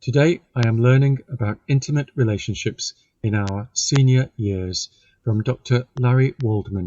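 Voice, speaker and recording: Somewhat breathy, a man talks at a medium pitch and moderate pace with ordinary pitch variation. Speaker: podcast host. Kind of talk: podcast introduction.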